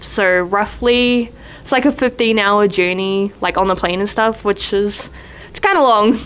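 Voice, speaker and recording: A woman with a New Zealand accent speaks with ordinary pitch variation. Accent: New Zealand, noticeable. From New Zealand, east coast North Island. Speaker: college basketball player. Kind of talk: casual interview chat. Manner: casual, filler-heavy.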